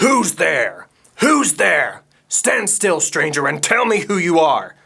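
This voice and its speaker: Putting on a character voice, a man growls at a high pitch and a fairly slow pace. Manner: menacing, demanding.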